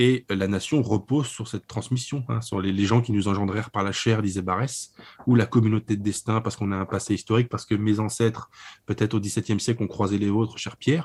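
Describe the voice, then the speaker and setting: A man's fairly low voice at a very fast pace, fairly even in intonation, on a very clean recording with a silent background. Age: 30s. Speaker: publisher and writer. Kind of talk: interview about a book. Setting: internet call.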